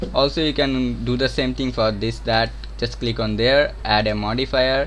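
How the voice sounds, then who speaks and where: Someone with a Bengali accent talks at a fairly slow pace, with audible room echo and noticeable background noise. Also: man. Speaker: game development streamer. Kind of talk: live-stream tutorial. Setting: live stream. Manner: halting.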